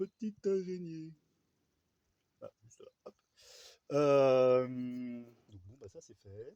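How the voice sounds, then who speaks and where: Soft-spoken and very slow, a man with a fairly high voice and a dark, mellow tone pauses long and often, his loudness swinging widely and his intonation lively. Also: dry, close sound with no echo. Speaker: vlogger, hobby gardener with chickens. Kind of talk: casual vlog monologue. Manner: hesitant, many fillers.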